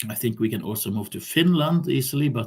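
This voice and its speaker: In a Norwegian accent, the speaker sounds somewhat breathy, with lively intonation. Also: man. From Norway. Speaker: vlogger. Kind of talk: casual monologue. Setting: recording on laptop at home. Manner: halting. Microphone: laptop mic.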